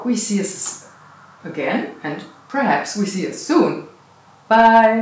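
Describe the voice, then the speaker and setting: Very slow speech with a non-native accent amid noticeable background noise. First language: not English. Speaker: meditation channel host. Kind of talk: casual interview. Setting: cottage B&B in the Netherlands.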